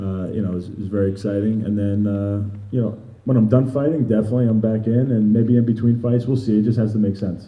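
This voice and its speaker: A man with a New York accent, fairly low in pitch, at a very fast pace, with audible room echo. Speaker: MMA fighter. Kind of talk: interview.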